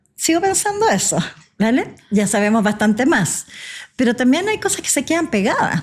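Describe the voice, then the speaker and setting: With very wide pitch swings, a woman talks at a fairly slow pace in a high pitch. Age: 60s. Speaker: physician. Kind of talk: podcast interview. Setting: coffee shop.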